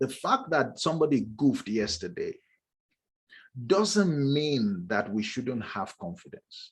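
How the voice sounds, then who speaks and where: Speaking at a fairly slow pace, a man with a fairly high, somewhat breathy voice makes very wide pitch swings. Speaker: leadership trainer. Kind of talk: online masterclass lecture.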